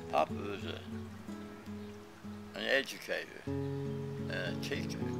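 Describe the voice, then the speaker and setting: Loud music plays behind a man whose voice sounds dry, with no echo. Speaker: son recalling his father. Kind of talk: interview answer. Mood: warm, reflective. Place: garden.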